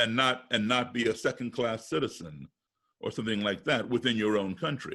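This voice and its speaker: A man with an American accent and a plain, everyday voice speaks at a moderate pace, his medium pitch showing ordinary variation. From US, raised partly abroad as embassy kid. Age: 60s. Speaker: musician and race relations speaker. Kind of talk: interview.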